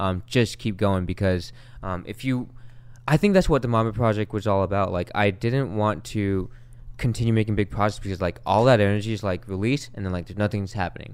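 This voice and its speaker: A man with a Californian accent talks very fast at a fairly low pitch, his pitch varying in an ordinary way, on a very clean recording with a silent background. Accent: Californian American. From Long Beach, California. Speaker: musician. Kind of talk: casual chat.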